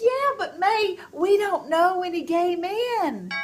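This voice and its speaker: Putting on a character voice, a woman speaks at an extremely high pitch with lively intonation and a fairly slow pace over clear background noise. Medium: short film.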